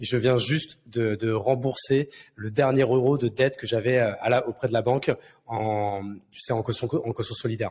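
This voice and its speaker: At a moderate pace, this somewhat breathy voice carries on. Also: man, medium pitch for a man. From France, Marne countryside (Champagne-Ardenne). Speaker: serial entrepreneur. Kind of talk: casual interview. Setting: Villa Maria in Bordeaux. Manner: animated, slangy with many hesitations.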